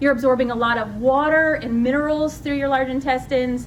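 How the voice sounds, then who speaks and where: Over noticeable background noise and audible room echo, a woman speaks at a high pitch with fairly even intonation. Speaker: nurse practitioner. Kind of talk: lecture.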